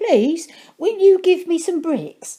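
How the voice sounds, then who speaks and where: This is a put-on character voice. It sounds squeaky, at an extremely high pitch. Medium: read story.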